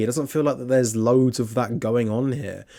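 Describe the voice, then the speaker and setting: Very fast speech from a man with a British accent, medium in pitch, on a very clean recording with a silent background. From Britain. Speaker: film reviewer. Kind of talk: film review monologue.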